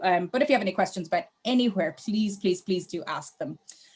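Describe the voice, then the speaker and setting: A woman's very fast speech in an Irish accent, medium pitch with ordinary pitch variation. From Ireland. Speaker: travel company sales manager. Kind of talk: webinar presentation.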